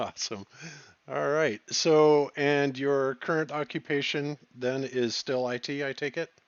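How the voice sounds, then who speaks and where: In a plain, everyday voice, a man talks at a fairly slow pace with a fairly high pitch and fairly even intonation. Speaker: podcast host, former Air Force communications engineer. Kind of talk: casual interview.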